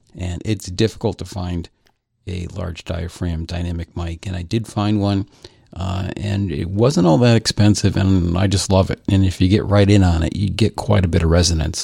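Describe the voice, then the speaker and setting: A man speaks with a very deep, low pitch and a dark, mellow tone. His voice is somewhat breathy, at a moderate pace with fairly even intonation. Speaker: podcast co-host. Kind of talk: casual banter. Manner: hesitant, repeats words.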